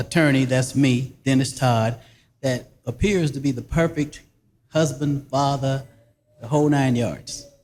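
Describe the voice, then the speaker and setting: Here a man speaks with a South Carolina accent. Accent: US Southern (South Carolina). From South Carolina Low Country (Barnwell). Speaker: actor. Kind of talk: casual interview.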